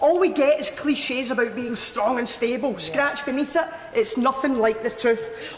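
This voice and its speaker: With a Scottish accent, a woman talks at a moderate pace in a high voice over noticeable background noise. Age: 20s. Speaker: politician. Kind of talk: parliamentary speech. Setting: debating chamber. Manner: impassioned, rousing.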